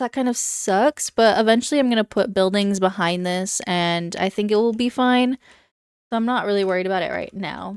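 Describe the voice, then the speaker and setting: The speech moves at a fairly quick pace with ordinary pitch variation, captured in a very clean recording against a silent background. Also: woman, medium pitch for a woman, dry, close sound with no echo. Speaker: gaming YouTuber. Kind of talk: gameplay commentary. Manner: fast; animated.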